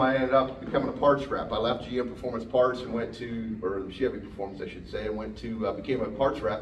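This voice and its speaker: A man with a Pennsylvania accent speaks at a very fast pace and a medium pitch. Noticeable background noise and audible room echo fill the recording. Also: hardly any pauses. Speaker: automotive technician and parts rep. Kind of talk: technical seminar talk. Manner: hesitant, many fillers.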